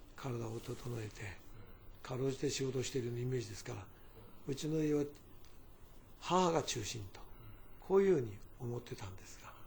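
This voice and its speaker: This man talks at a fairly quick pace with medium pitch and lively intonation, his loudness swinging widely and his voice somewhat breathy. Long, frequent pauses break up his speech, and the room echo is audible. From Fukuoka Prefecture, Japan (Nogata). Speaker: company chairman. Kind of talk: interview, personal reminiscence.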